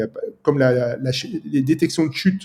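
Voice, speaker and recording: The man's voice has a dark, mellow tone. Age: 50s. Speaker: app developer. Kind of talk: casual chat.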